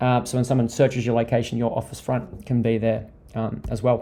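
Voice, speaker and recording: An Australian accent over noticeable background noise. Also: man. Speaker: digital marketing strategist. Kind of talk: webinar presentation. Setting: online webinar. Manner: fast.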